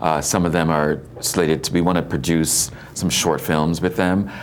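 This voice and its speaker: Noticeable background noise surrounds a man with a very deep, low pitch. He talks at a fairly quick pace with fairly even intonation. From Guyana, moved to Brooklyn as a child. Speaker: filmmaker and film professor. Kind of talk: morning TV interview. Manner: halting, many repeated words.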